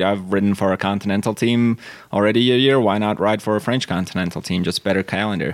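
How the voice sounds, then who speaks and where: A Latvian accent, a fairly quick pace, fairly even intonation and very even loudness. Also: man. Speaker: pro cyclist. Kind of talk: interview. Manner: hesitant, filler-heavy.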